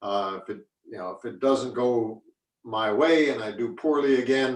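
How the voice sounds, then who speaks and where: This man has a medium pitch and ordinary pitch variation, moving at a moderate pace. His loudness swings widely. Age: 60s. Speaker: retired mixed martial arts fighter. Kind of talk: interview. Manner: halting, many repeated words.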